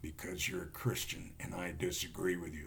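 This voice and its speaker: With clear background noise, a man speaks at a moderate pace in a put-on character voice with a very deep, low pitch. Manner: menacing.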